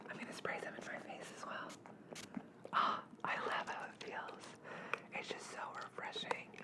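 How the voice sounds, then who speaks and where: Noticeable background noise surrounds a whisper that moves at a moderate pace, broken by long, frequent pauses. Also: woman. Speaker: ASMR artist. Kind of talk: ASMR sleep roleplay. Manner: whispered.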